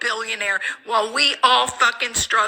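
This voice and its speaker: A woman talks fairly slowly with fairly even intonation. Noticeable background noise runs underneath. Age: 50s. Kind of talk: emotional rant to camera.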